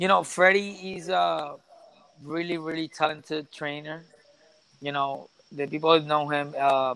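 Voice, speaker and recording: A man with a Puerto Rican accent, fairly high in pitch, at a moderate pace with fairly even intonation. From Puerto Rico. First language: Spanish. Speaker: professional boxer. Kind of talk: interview. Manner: halting, with many repeated words.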